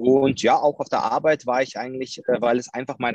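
A man speaks at a moderate pace in an ordinary speaking voice. The sound is dry and close with no echo. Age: 30s. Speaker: crypto entrepreneur, former police officer. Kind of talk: interview. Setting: video call.

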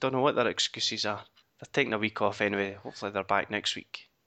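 With a Scottish accent, a man speaks at a fairly low pitch in a bright, sharp tone and a fairly even intonation. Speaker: podcast host. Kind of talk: casual chat. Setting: recording at home late at night. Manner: muted, keeping voice down.

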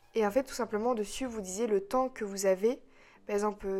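Recorded very cleanly with a silent background, a woman speaks at a medium pitch with fairly even intonation. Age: 20s. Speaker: podcaster. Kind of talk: personal monologue. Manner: hesitant.

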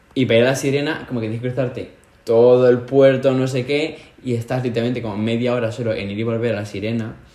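A man talks at a very fast pace with a medium pitch. There is audible room echo. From Spain. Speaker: podcast co-host. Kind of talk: casual chat. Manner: animated.

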